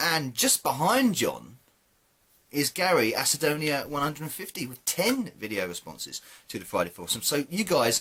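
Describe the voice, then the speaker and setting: With a British accent, a man speaks at a fairly high pitch with vocal fry. His pitch swings very widely at a moderate pace. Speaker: gaming YouTuber. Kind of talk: casual vlog monologue. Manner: halting, many fillers.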